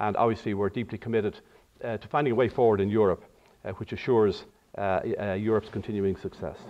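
A man's fairly low voice with an Irish accent, very fast but broken by long, frequent pauses. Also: fairly even intonation. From Ireland. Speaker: diplomat. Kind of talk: lecture. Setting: auditorium with audience. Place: hall. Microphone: podium.

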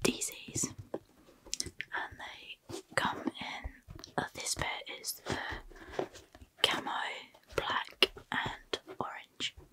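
A woman whispering. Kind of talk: soft role-play shop chat. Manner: soft close-mic ASMR voice. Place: home room. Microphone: studio mic.

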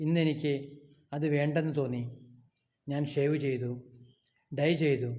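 Fairly high-pitched man with a dark, mellow tone and monotone, flat intonation, plus audible room echo. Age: 60s. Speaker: vlogger. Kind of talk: personal vlog monologue. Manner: halting.

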